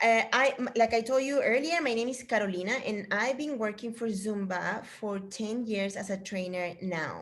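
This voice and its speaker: A woman with a Spanish accent talks at a fairly slow pace and fairly high pitch, with ordinary pitch variation. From Chile. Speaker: fitness instructor trainer. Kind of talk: casual chat. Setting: video call. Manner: animated.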